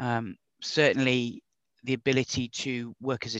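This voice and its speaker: A man with an English accent speaks at a medium pitch in a flat monotone, his bright, sharp tone recorded dry and close with no echo against a quiet background. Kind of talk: casual interview chat. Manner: controls a stammer with trained speech technique.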